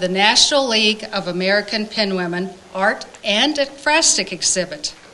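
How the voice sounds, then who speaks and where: Against noticeable background noise, a woman talks at a moderate pace with lively intonation. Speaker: event emcee for a women's arts club. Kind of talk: formal welcome speech. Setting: art gallery event with audience, microphone.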